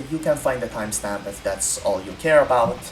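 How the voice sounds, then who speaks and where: Over music in the background, someone speaks at a fairly quick pace in an Italian accent. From Italy. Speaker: gaming content creator. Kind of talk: casual chat. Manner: halting.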